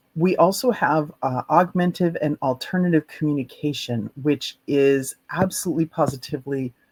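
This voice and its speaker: A man talks at a moderate pace in a normal speaking voice, fairly high in pitch with ordinary pitch variation. He leaves hardly any pauses, and the sound is dry and close with no echo. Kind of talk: conference talk.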